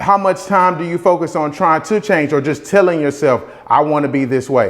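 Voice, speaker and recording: A man with a Southern US accent. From US South. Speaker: real estate investor and motivational vlogger. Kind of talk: motivational talk. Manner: casual, repetitive.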